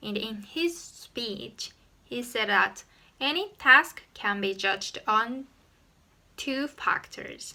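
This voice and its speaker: A woman's fairly high voice with a bright, sharp tone and ordinary pitch variation, very slow in pace, in a Japanese accent. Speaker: YouTuber. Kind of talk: tutorial.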